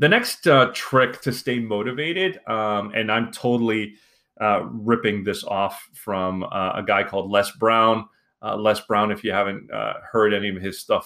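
A man talks at a moderate pace in a normal speaking voice, fairly low in pitch with ordinary pitch variation. The recording is very clean, with a silent background. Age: 40s. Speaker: podcast host. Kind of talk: solo podcast monologue. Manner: casual, with frequent fillers.

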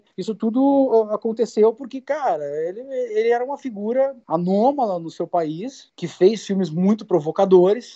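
Very wide pitch swings in a man's high voice. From southern Brazil (Rio Grande do Sul). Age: 40s. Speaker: film director. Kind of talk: interview.

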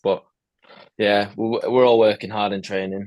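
Here is a man with a plain, everyday voice, pitched fairly low. He talks at a fairly quick pace over a quiet background. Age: 20s. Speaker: professional footballer. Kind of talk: casual chat.

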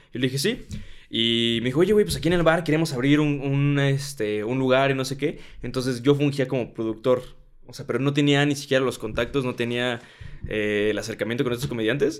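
A man with a medium pitch and ordinary pitch variation speaks at a fairly quick pace. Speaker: stand-up comedian. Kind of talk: casual chat.

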